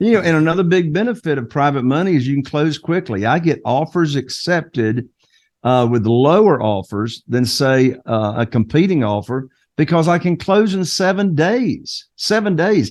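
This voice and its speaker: With a Carolina Southern accent, the speaker moves at a moderate pace through very wide pitch swings. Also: man, fairly high pitch for a man. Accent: noticeable Carolina Southern. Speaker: real estate investor. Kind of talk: interview podcast.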